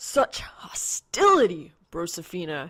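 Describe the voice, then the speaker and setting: A put-on character voice that sounds female speaks at a fairly slow pace and middle pitch in a very clean recording with a silent background. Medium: read story. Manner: brash, unbothered.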